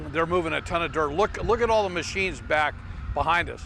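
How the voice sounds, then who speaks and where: A male voice is heard. Its pitch rises and falls in a typical way. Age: 60s. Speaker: local TV show co-host. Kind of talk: on-location report to camera. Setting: outdoors at construction site. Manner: repetitive, halting.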